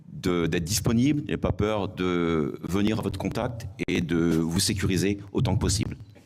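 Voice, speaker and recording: Here a man speaks with a very deep, low pitch and ordinary pitch variation at a moderate pace. His loudness is very even, and audible room echo is present. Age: 60s. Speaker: retired gendarmerie officer, election candidate. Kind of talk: self-introduction at public meeting. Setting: public meeting hall with audience.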